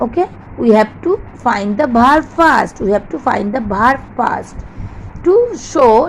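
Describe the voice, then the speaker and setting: With noticeable background noise behind her, a woman speaks at a high pitch with lively intonation and a fairly slow pace. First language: not English. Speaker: English teacher. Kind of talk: lecture.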